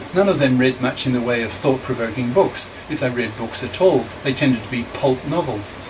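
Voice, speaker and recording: This man talks fairly quickly. Clearly audible background noise accompanies him. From Australia. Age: 70s. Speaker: author and retired professor. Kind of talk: reading aloud from own book with asides.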